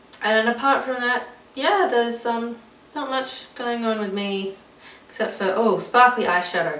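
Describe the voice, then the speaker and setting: With an Australian accent, a woman speaks at a moderate pace in a fairly high pitch with lively intonation, over noticeable background noise and audible room echo. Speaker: vlogger. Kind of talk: casual vlog chat. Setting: recorded alone on camera. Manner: rambling, many fillers.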